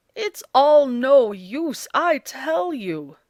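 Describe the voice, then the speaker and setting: This is a put-on character voice. Its pitch swings very widely up and down. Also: woman, high pitch for a woman. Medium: read story. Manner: gruff, blustering.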